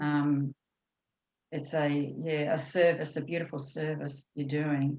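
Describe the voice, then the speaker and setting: A woman with a New Zealand accent, very deep and low in pitch, with monotone, flat intonation. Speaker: course participant. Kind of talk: casual chat. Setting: video call.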